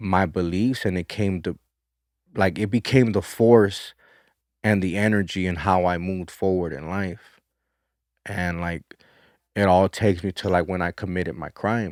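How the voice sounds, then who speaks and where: A man with an American accent and very deep, low pitch talks at a moderate pace with fairly even intonation and long, frequent pauses, in a very clean recording with a silent background. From South Central Los Angeles. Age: 30s. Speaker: former prisoner. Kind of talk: interview testimony.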